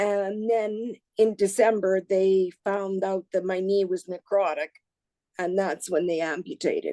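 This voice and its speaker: Her tone dark and mellow, a woman with a Canadian accent speaks at a medium pitch and a fairly slow pace with fairly even intonation, the sound dry and close with no echo. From Saskatchewan, Canada. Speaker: patient sharing surgery story. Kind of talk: personal testimony. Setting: Sydney, Australia. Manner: halting, with fillers.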